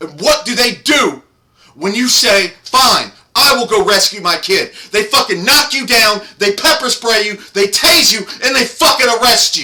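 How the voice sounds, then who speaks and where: The voice is raised and projected, with an animated tone and lively intonation at a fairly slow pace. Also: man, extremely high pitch for a man. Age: 30s. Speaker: political commentator. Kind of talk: rant. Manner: loud.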